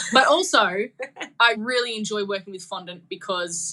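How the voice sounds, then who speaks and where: A woman speaks with an Australian accent in a bright, sharp tone. Her pitch is medium, with ordinary pitch variation. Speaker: cake decorator and social media content creator. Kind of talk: casual podcast interview.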